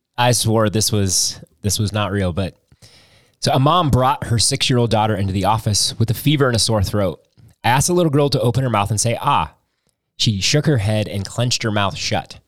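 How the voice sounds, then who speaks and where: Fairly quick delivery in an unremarkable speaking voice, pitch varying in an ordinary way. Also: man, medium pitch for a man. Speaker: pastor. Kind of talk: casual chat.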